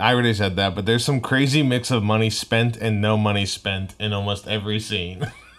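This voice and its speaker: Over music in the background, a man talks in a fairly low voice with fairly even intonation. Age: 30s. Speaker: podcast co-host and comedian. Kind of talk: casual chat.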